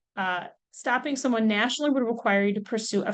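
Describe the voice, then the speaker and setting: A woman's unremarkable speaking voice, fairly high-pitched and fairly quick, with ordinary pitch variation against a quiet background. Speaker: legal expert on trademarks. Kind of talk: webinar presentation.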